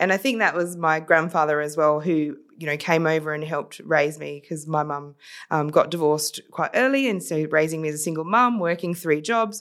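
Speaking at a fairly quick pace with an Australian accent, a woman with a very deep, low pitch shows ordinary pitch variation in a very clean recording with a silent background. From South Australia, Adelaide. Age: 40s. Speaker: social entrepreneur. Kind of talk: casual interview.

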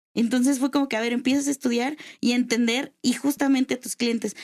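A woman with a high voice speaks at a fairly quick pace, her intonation fairly even. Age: 20s. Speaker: lawyer and adult toy seller. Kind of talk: casual chat.

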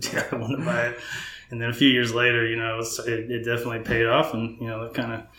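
Amid noticeable background noise and audible room echo, a man talks at a very fast pace with an American accent. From North Texas (Frisco). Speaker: home builder. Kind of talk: casual interview.

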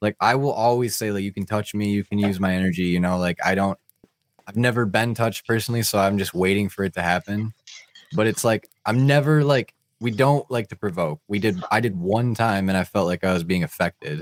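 A man with an ordinary speaking voice, fairly low pitch, ordinary pitch variation and a fairly quick pace, in a dry, close sound with no echo. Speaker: podcast host. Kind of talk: casual chat.

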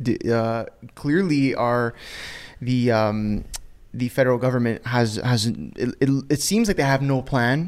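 A man's normal speaking voice at medium pitch, fairly slow and very even in loudness, with ordinary pitch variation, on a very clean recording with a silent background. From Canada. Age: 20s. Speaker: podcast host. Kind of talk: casual chat.

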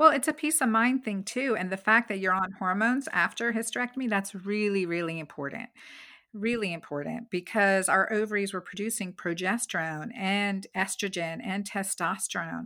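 Bright and sharp in tone, the voice moves at a moderate pace with ordinary pitch variation on a very clean recording against a silent background. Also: woman, medium pitch for a woman. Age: 50s. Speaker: physician and author. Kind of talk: interview.

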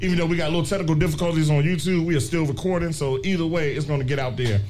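Amid music in the background and audible room echo, a man speaks at a fairly high pitch. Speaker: podcast host. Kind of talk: live podcast panel talk. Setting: brewery with live audience.

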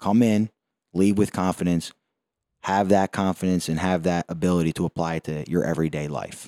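On a very clean recording with a silent background and a dry, close sound, a man with a Philadelphia accent talks at a fairly quick pace in a very deep, low voice with a dark, mellow tone and fairly even intonation. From South Philadelphia, US. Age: 20s. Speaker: boxing gym owner and trainer. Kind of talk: casual interview chat. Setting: in a boxing gym.

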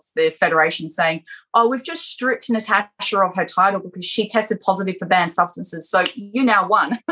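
Speaking at a fairly quick pace with an Australian accent, a woman has a medium pitch, ordinary pitch variation and a bright, sharp tone. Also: hardly any pauses. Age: 40s. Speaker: adult performer and bodybuilder. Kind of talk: casual interview.

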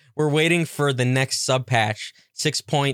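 An ordinary speaking voice from a man at medium pitch, with fairly even intonation, comes across with a dry, close sound with no echo on a very clean recording with a silent background. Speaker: podcast host. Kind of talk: angry rant about a video game. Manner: ranting, irritated, profane, sarcastic; rambling, casual, self-deprecating.

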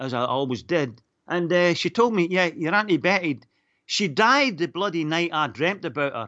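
Lively intonation carries the speaker's Northern Irish accent. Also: man. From Northern Ireland, Lurgan. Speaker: caller. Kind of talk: radio phone-in call. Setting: phone call.

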